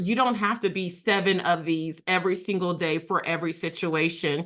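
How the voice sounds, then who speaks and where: A woman with a normal speaking voice, medium pitch, ordinary pitch variation and a moderate pace, against a quiet background. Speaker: workshop facilitator on equity and inclusion. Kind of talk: webinar presentation.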